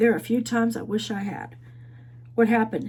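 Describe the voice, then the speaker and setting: A woman puts on a raspy character voice. She talks at a fairly quick pace. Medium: read story. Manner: chatty, teasing.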